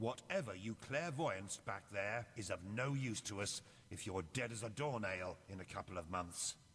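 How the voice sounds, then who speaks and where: Over clear background noise, a man puts on a gruff character voice, fairly low in pitch, at a moderate pace. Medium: video game. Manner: gruff, sardonic.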